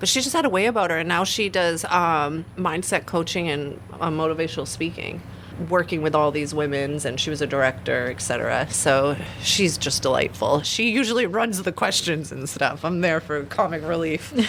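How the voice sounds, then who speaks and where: Noticeable background noise runs under this recording. A woman speaks with lively intonation at a very deep, low pitch. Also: moderate pace. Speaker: aerial arts studio owner and instructor. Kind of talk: radio interview, casual chat. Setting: radio studio. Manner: animated, conversational.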